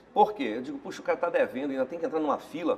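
A man speaks at a high pitch. Light background noise can be heard. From Amazonas, Brazil. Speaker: business association president; interview guest. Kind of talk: TV interview. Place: studio. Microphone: lapel.

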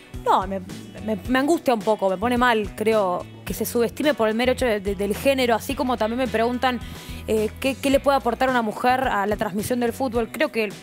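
Clear music plays in the background as a woman in an Argentine accent speaks at a fairly high pitch with fairly even intonation. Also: fairly quick pace. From Argentina. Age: young. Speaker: football commentator. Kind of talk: interview answer. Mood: earnest, slightly troubled. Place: studio. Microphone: headset.

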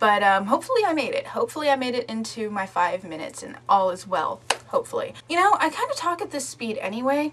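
The speech comes at a very fast pace with hardly any pauses and very wide pitch swings. Noticeable background noise is present. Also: woman, high pitch for a woman. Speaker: vlogger. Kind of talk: casual vlog to camera. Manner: fast natural pace. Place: home room. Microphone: webcam.

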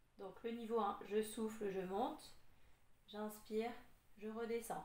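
With audible room echo, a woman speaks at a very slow pace in fairly even intonation. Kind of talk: exercise class instruction. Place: home room. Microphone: camera far.

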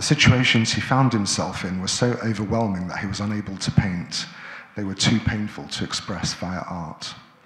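A man with a fairly low pitch speaks at a moderate pace with ordinary pitch variation, big swings in loudness, and audible room echo. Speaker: event moderator and curator. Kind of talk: panel discussion moderation. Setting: stage with live audience. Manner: halting, many filler sounds. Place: hall. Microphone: handheld.

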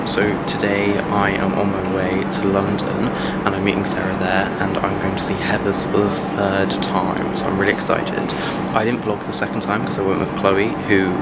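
A man talks at a moderate pace through loud background noise. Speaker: vlogger. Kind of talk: casual vlog chat. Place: station. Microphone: phone near.

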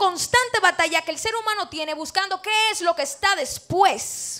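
Against a quiet background, the voice sounds animated, bright and sharp, with lively intonation at a moderate pace. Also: woman. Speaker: preacher. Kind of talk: sermon. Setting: church. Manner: conversational, rhetorical questions to congregation. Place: church. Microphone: handheld.

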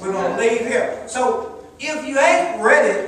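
Speaking at a fairly slow pace, a man with an extremely high pitch and a fairly bright tone uses lively intonation amid strong room echo.

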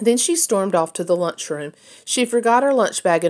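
This is an unforced reading voice. It stays that way throughout.

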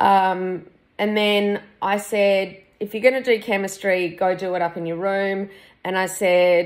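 The pace of this woman's speech is fairly slow. Nothing much sounds behind her. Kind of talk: casual vlog chat. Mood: flustered, rambling. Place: kitchen. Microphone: phone near.

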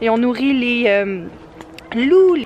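Over light background noise, a woman speaks at a high pitch with a dry sound and no echo. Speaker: family vlogger. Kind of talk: casual vlog chat. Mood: enthusiastic, happy. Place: forest. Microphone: phone near.

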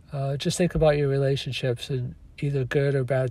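A man's somewhat breathy, dark and mellow voice at medium pitch, monotone and flat in intonation, at a moderate pace. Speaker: podcaster and author. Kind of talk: monologue podcast. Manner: reflective, hesitant with fillers.

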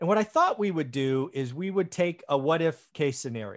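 A moderately paced man's voice over a quiet background. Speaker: channel host. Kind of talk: podcast discussion intro. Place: home room.

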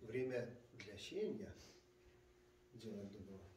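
Speaking very slowly at a medium pitch, a man is heard with audible room echo and light background noise. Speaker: congregation member; Bible study teacher. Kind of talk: casual discussion. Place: office.

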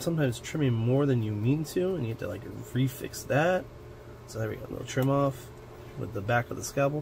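Speaking at a very fast pace, a man sounds somewhat breathy over light background noise. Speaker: miniature-painting hobby video creator. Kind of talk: unboxing and build tutorial. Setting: home hobby desk with camera setup. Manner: casual, chatty and self-joking. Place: home room.

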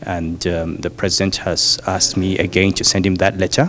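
Over light background noise, a man with a very deep, low pitch talks at a fairly quick pace with fairly even intonation. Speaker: interviewee. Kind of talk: interview answer. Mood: calm, pleased. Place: hall. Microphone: handheld.

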